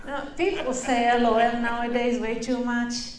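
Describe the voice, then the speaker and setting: The speech moves at a fairly slow pace. There is audible room echo and noticeable background noise. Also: woman. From Israel. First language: Hebrew. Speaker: stand-up comedian. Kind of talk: stand-up. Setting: stage with audience.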